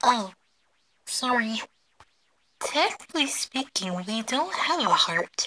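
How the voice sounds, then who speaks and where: A put-on character voice, female-sounding and high in pitch, at a fairly slow pace with long, frequent pauses. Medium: dub. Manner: casual, teasing.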